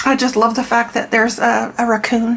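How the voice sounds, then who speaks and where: A woman with a high pitch at a moderate pace, against noticeable background noise. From Canada. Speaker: tarot reader and deck reviewer. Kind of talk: product review flip-through. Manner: casual, with frequent repetitions and fillers.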